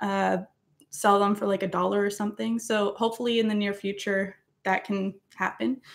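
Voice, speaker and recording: A woman with a Maritimes accent talks at a moderate pace with fairly even intonation. Her recording is very clean against a silent background. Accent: Canadian English (Maritimes). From Nova Scotia, Canada. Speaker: musician and YouTuber doing covers. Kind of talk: casual livestream chat reading comments. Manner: casual, hesitant with fillers.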